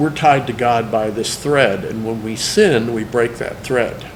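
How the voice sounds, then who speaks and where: Amid noticeable background noise and audible room echo, a man speaks at a fairly slow pace with a medium pitch and ordinary pitch variation. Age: 60s. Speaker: cartoonist. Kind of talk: testimony.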